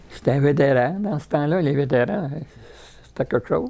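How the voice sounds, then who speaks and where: Fairly high in pitch, a man with a Quebec accent speaks in a dark, mellow tone at a moderate pace. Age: 90s. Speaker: war veteran. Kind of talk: interview. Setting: retirement home. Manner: halting.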